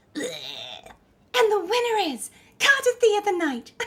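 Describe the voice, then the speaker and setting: A put-on character voice with an extremely high pitch speaks at a very slow pace. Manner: bombastic, theatrical.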